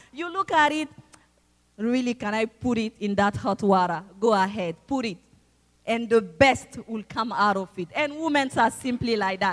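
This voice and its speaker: Speaking with a non-native accent, a woman uses a fairly high pitch and lively intonation at a moderate pace. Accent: non-native foreign. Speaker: church member, mother, guest preacher. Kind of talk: sermon. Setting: church service with congregation.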